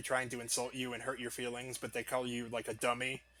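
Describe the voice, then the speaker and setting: A man at a medium pitch, talking at a very fast pace over noticeable background noise. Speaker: gaming streamer. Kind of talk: live gameplay stream chat. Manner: casual, chatty.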